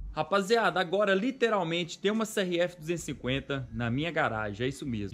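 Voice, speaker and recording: Intonation lively, a man speaks at a fairly quick pace. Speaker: motorcycle vlogger. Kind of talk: casual vlog chat. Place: garage. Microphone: phone near.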